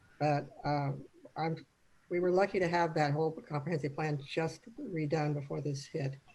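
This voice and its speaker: A woman with an American accent speaks at a moderate pace, her pitch very deep and low. Her tone is dark and mellow, somewhat breathy, with fairly even intonation. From Arizona. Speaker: city manager. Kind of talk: panel discussion. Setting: video call. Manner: soft-spoken.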